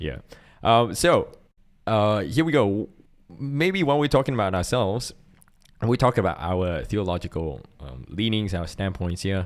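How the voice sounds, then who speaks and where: Against a very clean recording with a silent background, the speaker moves at a moderate pace, leaving long, frequent pauses, with very wide pitch swings. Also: man, fairly low pitch for a man. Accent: Singaporean. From Singapore. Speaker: podcast co-host and church worship volunteer. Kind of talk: casual chat.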